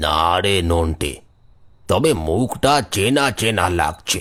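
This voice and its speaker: A man does a cartoonish character voice, very deep and low with growling, lively intonation and a very slow pace, in a very clean recording with a silent background. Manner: hesitant, halting.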